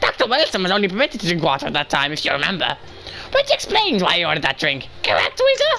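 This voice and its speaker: A put-on character voice rattles along at a very fast pace over clear background noise. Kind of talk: formal courtroom speech. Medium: game stream. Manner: pompous, condescending.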